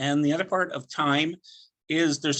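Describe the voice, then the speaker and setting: Fairly even intonation and a moderate pace from a man with an ordinary speaking voice, pitched fairly high. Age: 60s. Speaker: network marketing presenter. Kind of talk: sales pitch presentation. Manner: casual with filler words.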